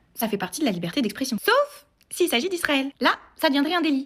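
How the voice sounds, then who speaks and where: A woman talks at a very fast pace in a high pitch with lively intonation. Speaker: political commentator vlogger. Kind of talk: political monologue to camera. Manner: sarcastic, emphatic.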